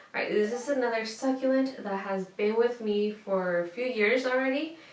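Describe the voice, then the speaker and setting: The pitch moves in an ordinary way at a moderate pace. Room echo can be heard. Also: woman. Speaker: lifestyle vlogger. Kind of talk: casual show-and-tell tutorial. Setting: home room. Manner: casual with fillers. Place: home room.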